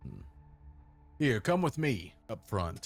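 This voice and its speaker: A man does a put-on character voice at medium pitch with very wide pitch swings, faint music playing in the background. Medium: actual play. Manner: mocking.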